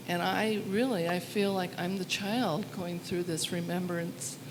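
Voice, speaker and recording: A woman's fairly low voice at a very slow pace, with fairly even intonation, noticeable background noise and audible room echo. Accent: American. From southern Oregon, US. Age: 70s. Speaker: audience member. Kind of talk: personal testimony at community gathering. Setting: studio with live audience. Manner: halting.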